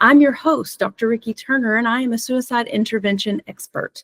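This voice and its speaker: Somewhat breathy speech with a Southern US accent, ordinary pitch variation, and a dry, close sound with no echo. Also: woman. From US South. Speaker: podcast host, suicide intervention expert. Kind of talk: podcast interview.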